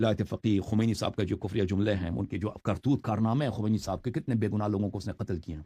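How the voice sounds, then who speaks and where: The man's dark, mellow tone comes through a dry, close sound with no echo, and his pitch varies an ordinary amount. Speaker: Shia religious scholar. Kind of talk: religious commentary monologue. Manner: harsh, sharp tone.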